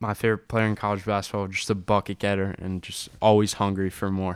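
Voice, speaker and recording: At a fairly quick pace, a man with a fairly low pitch speaks in a flat monotone, captured in a very clean recording with a silent background. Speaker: college basketball fan analyst. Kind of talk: casual sports chat.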